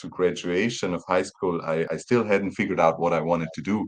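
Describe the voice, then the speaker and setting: Speaking in a German accent, a man with a very deep, low pitch goes at a moderate pace with ordinary pitch variation. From Austria, small town near Vienna. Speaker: professor of road engineering. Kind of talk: podcast interview. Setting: remote recording, away at a conference. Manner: halting, many repeated words.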